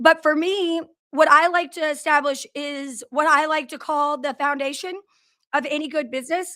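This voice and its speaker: A woman's loud, high-pitched voice with a bright, sharp tone, fairly even intonation and a moderate pace, on a very clean recording with a silent background. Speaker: business owner hosting livestream. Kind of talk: live stream talk. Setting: live video stream.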